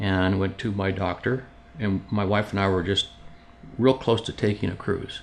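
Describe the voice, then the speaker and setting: A man talks in a normal speaking voice, fairly low in pitch, at a moderate pace. His intonation stays fairly even. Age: 60s. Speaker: cancer patient. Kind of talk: personal testimony interview. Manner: conversational with frequent fillers and restarts.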